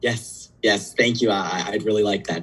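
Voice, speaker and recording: A man uses a put-on character voice that is raspy and fairly low. He keeps to a moderate pace. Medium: stage play. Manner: stammering, hesitant.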